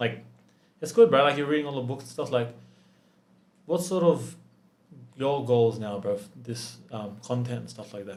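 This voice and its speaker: A man with an Australian accent speaks at a medium pitch and moderate pace with ordinary pitch variation. His loudness swings widely, there are long, frequent pauses, and the room echo is audible. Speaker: business founder. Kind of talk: casual chat. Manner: animated.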